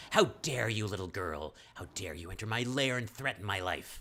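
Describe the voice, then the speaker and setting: A man puts on a character voice, hissing at a moderate pace with a fairly low pitch. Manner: hissing, indignant, threatening.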